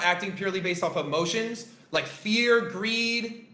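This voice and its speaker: The voice is raised and projected, with an animated tone and ordinary pitch variation. Noticeable background noise and audible room echo are present. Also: man. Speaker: trading coach. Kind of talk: live-stream lesson. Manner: loud.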